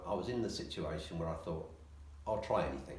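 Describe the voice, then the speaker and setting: A man talks with lively intonation. The room echo is audible, and there is noticeable background noise. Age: 60s. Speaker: physiotherapy patient. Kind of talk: interview. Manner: hesitant, many ums.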